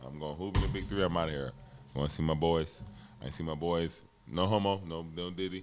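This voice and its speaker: A man with a very deep, low pitch talks at a very fast pace with ordinary pitch variation. Music plays in the background, and room echo is audible. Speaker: former pro basketball player. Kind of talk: casual chat.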